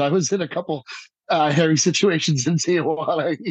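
This man's voice sits fairly high. He uses ordinary pitch variation. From New Jersey. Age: 40s. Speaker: musician. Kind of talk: casual chat.

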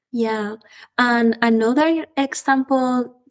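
With a Spanish accent, a woman speaks at a high pitch. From central Spain. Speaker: aeronautical engineer. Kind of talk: interview. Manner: halting.

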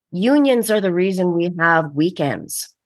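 With a Canadian accent, a woman talks in a plain, everyday voice at a fairly low pitch. Her intonation is lively, her pace moderate, and the background quiet. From Winnipeg, Manitoba, Canada. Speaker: actor, costume designer and theatre director. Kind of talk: interview.

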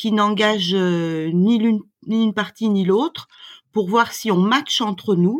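On a very clean recording with a silent background, a woman with a fairly high pitch and ordinary pitch variation speaks at a very slow pace. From France. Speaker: doula. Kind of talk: interview.

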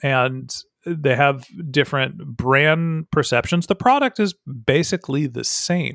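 A man's fairly high-pitched, normal speaking voice with lively intonation, at a fairly slow pace, in a dry, close sound with no echo. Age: 40s. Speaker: marketing consultant and podcast host. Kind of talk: interview.

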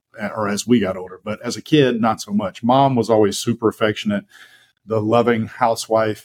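With an Alabama accent, a man talks at a fairly quick pace and medium pitch in a monotone, flat intonation, the sound dry and close with no echo. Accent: Southern US (Alabama). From US South. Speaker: fitness coach and podcast co-host. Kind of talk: casual interview about life story.

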